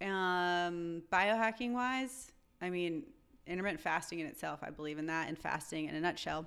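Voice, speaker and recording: A woman with an American accent speaks in an ordinary speaking voice, fairly low for a woman, at a moderate pace. Her intonation is lively, and the recording is very clean with a silent background. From North Carolina. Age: young. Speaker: chiropractor. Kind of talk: interview conversation.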